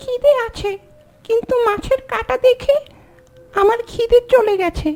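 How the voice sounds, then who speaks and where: A cartoonish character voice with an extremely high pitch, delivered at a fairly slow pace. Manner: cheeky, plaintive.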